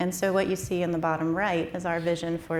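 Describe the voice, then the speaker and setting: There's audible room echo around a woman speaking with an American accent in a fairly low pitch. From US Southwest. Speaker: startup founder presenting wastewater technology. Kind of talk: conference presentation.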